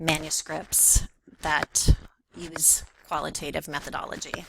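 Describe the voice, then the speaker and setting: This woman's voice sits fairly low in pitch and carries vocal fry. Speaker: professor. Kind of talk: self-introduction presentation. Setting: recorded video. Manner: halting; stuttering.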